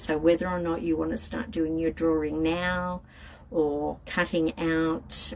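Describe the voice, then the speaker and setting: Noticeable background noise sits behind the recording. Over it, a woman speaks at a very slow pace. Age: 50s. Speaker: tarot and tea leaf reader. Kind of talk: livestream reading and chat. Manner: casual, hesitant with fillers.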